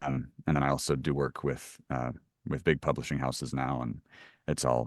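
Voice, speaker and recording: A speaker with an American accent talks at a fairly quick pace, with vocal fry, against a quiet background. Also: man. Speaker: audiobook narrator. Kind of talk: interview. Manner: hesitant, many fillers.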